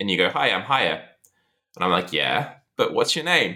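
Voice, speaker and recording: A man speaks with a West Midlands accent and a bright, sharp tone. Vocal fry runs through his voice. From England, Shropshire. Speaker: podcast guest, host's old friend. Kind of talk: casual chat.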